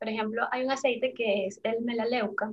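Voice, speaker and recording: With a normal speaking voice, a woman talks at a fairly high pitch. Her pace is moderate, with ordinary pitch variation. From Venezuela, Caracas. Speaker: essential oils seller and entrepreneur. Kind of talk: interview.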